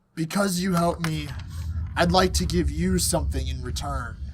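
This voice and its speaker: In a put-on character voice, a man booms loudly at a very deep, low pitch, raspy and at a moderate pace. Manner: arrogant.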